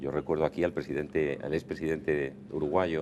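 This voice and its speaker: Vocal fry runs through this man's very fast delivery. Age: 60s. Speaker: diplomat. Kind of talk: TV interview.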